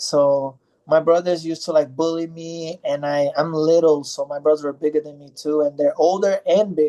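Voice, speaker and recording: At a moderate pace, a man speaks with a dark, mellow tone, a fairly high pitch and monotone, flat intonation. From Brazil, Goiás; raised from age ten in New York and New Jersey. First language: Portuguese. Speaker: MMA fighter. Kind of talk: interview. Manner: halting, with many fillers.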